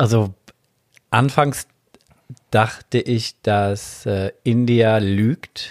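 Speaking at a very slow pace, a man leaves long, frequent pauses. His medium pitch and fairly even intonation come through a dry, close sound with no echo. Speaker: adult film performer and studio owner. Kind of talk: casual chat.

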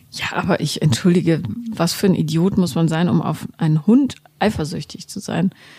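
Over noticeable background noise, the speaker keeps a moderate pace with ordinary pitch variation. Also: woman, fairly low pitch for a woman. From Germany, grew up Bonn and Berlin. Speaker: author and journalist. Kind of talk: casual chat.

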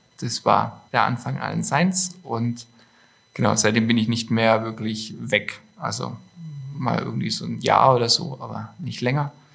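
Clear background noise is present. Over it, a man talks rather unhurriedly. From Stuttgart, southwest Germany. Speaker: clothing designer and entrepreneur. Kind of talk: casual interview.

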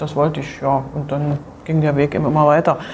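A woman speaks over noticeable background noise. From East Germany (Berlin). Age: 50s. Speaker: former footballer and football official. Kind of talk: interview. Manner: halting, many fillers and repetitions.

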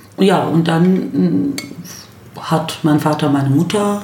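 With audible room echo and noticeable background noise, a woman speaks at a very deep, low pitch with ordinary pitch variation. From Berlin-Neukölln, Germany. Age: 40s. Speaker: lawyer and lecturer. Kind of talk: casual chat. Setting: home kitchen.

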